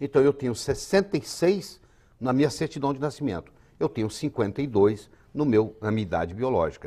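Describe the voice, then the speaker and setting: Here a man talks at a fairly quick pace and a medium pitch. His pitch swings very widely. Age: 60s. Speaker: physician and author. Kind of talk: TV health interview.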